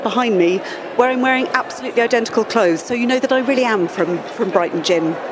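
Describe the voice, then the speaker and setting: A woman speaks at a high pitch with ordinary pitch variation over noticeable background noise. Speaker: gin company founder. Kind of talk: business talk to live audience. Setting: event stage with audience, silent-disco headphones. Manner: chatty, informal; animated.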